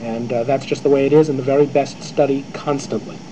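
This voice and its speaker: A man talks over noticeable background noise. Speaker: actor answering student questions. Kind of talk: interview answer. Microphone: old recording.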